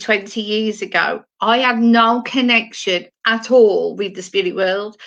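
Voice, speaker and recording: At a very slow pace, a woman with a fairly high pitch and a bright, sharp tone speaks with fairly even intonation. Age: 60s. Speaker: spiritual medium. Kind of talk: live stream monologue. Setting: at home, live stream. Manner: halting, with many fillers.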